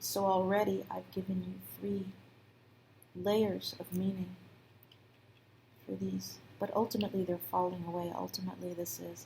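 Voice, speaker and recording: A soft-spoken woman talks at a moderate pace. She leaves long, frequent pauses. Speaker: tarot reader. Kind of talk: soft spoken tarot reading.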